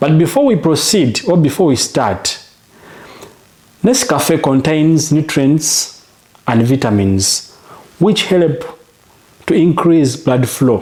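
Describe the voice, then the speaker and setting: Over noticeable background noise, a man talks at a fairly high pitch with very wide pitch swings. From Uganda. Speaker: home remedy health coach. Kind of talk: tutorial. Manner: repetitive, direct address; slow, deliberate.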